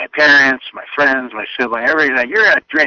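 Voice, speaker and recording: This man speaks at a medium pitch with ordinary pitch variation and a Midwestern American accent. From US Midwest, Illinois. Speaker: talk radio host. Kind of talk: casual storytelling monologue.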